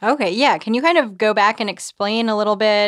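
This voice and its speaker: In a very clean recording with a silent background, a woman uses a plain, everyday voice, medium in pitch with ordinary variation, at a moderate pace. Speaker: podcast producer and co-host. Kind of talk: conversational news podcast. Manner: casual, uses filler words.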